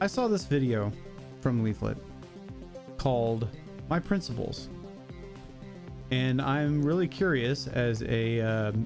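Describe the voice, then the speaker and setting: Over background music, a man speaks very slowly at medium pitch, leaving long, frequent pauses. His intonation is lively, while his loudness stays very even. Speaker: VTuber. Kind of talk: casual reaction commentary.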